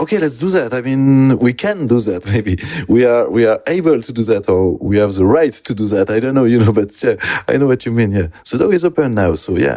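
Speaking with a French accent, a man at medium pitch uses lively intonation and hardly any pauses. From southwest France, near Bordeaux. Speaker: illustrator. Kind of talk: interview. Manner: halting, many fillers.

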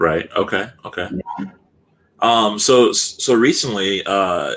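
A man talks with an American accent. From California. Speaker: soccer podcast host. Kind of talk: casual interview. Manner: halting, many fillers.

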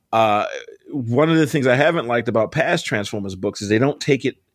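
A man with an American accent in a normal speaking voice, medium-pitched, fairly quick, with lively intonation. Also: very even loudness. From US, Baltimore. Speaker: comic book and TV writer. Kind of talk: casual interview.

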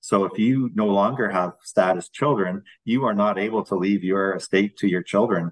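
With a Canadian accent, a man talks at fairly low pitch with ordinary pitch variation and hardly any pauses. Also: moderate pace. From London, Ontario, Canada. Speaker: First Nation chief. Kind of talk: radio interview. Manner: hesitant with many fillers.

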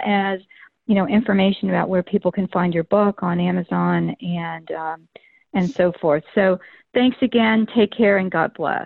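Here is a woman with an American accent and an ordinary speaking voice. She speaks at a medium pitch and a fairly slow pace. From Florida. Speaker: podcast host. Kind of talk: casual interview chat. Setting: phone call.

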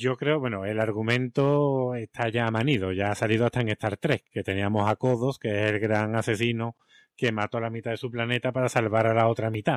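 A man's ordinary speaking voice at medium pitch, fairly quick pace, and fairly even intonation, in a dry, close sound with no echo. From Spain, Seville. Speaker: teacher and podcast co-host. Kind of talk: casual chat.

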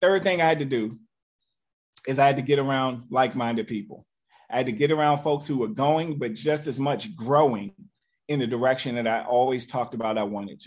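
A normal speaking voice, fairly quick, with ordinary pitch variation, over a quiet background. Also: man, medium pitch for a man. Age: 40s. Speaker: network marketing leader. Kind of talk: motivational talk.

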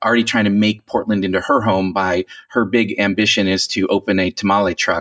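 Fairly quick and with fairly even intonation, the speech comes in an American accent over noticeable background noise. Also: man. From Northern California. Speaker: writer. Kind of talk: casual chat.

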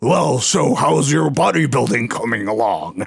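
Putting on a raspy character voice, a man speaks at a moderate pace with medium pitch and very wide pitch swings. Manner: normal, conversational.

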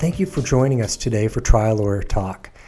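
A man's fairly quick, somewhat breathy delivery in a dark, mellow tone with lively intonation. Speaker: podcast host, trial lawyer. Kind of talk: interview.

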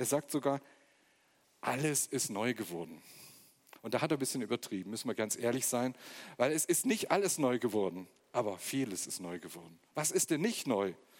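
Pausing long and often, a man talks at a moderate pace with very wide pitch swings. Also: medium pitch for a man. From eastern Germany, Magdeburg. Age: 40s. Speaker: guest preacher. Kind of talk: sermon.

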